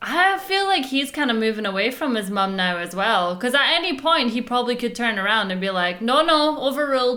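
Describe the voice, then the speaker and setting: A loud woman's voice, high in pitch, with very wide pitch swings and hardly any pauses, amid audible room echo and noticeable background noise. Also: fairly quick pace. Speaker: reaction video host. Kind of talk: casual chat.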